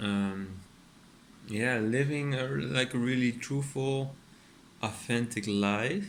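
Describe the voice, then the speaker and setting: A man talks with a Dutch accent. Room echo is audible. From Netherlands. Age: 30s. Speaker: artist and furniture maker. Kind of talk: casual vlog monologue. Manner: hesitant, many fillers.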